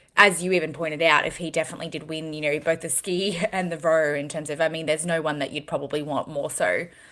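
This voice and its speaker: Speaking with an Australian accent, a woman has a fairly low pitch and a bright, sharp tone. Her pace is fairly quick, and her intonation is monotone and flat. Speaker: fitness podcast co-host. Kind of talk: casual chat.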